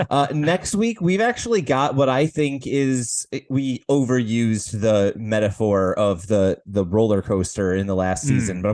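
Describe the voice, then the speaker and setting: In an ordinary speaking voice, a man at medium pitch talks at a fairly slow pace with lively intonation and hardly any pauses. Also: very even loudness. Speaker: podcast co-host.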